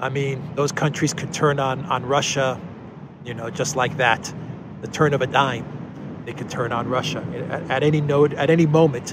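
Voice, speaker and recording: A man with a fairly high pitch speaks in fairly even intonation, with a dry sound that has no echo and noticeable background noise. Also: moderate pace. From Cyprus. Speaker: political news commentator. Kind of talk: solo video news commentary. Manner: hesitant, many fillers. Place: street. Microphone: phone near.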